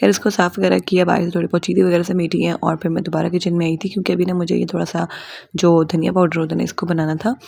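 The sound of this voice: A woman speaks fast with few pauses, in a fairly low voice with vocal fry. Her tone is slightly mellow, with little pitch movement.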